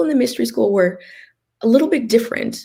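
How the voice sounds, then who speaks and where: This woman talks with an American accent at a medium pitch. Her voice is somewhat breathy, with ordinary pitch variation. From US West, Los Angeles. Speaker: healer and organ donation advocate. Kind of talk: interview testimony. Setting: live stream video chat. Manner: hesitant, many fillers and repeats.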